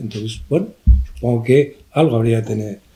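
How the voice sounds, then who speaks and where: A man with a medium-pitched voice and ordinary pitch variation speaks while music plays behind him. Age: 70s. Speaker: art professor. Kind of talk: book presentation discussion.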